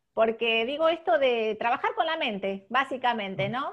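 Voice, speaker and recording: Against a quiet background, a woman with a Rioplatense accent speaks at a moderate pace in a fairly high voice with ordinary pitch variation. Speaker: podcast host. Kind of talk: interview.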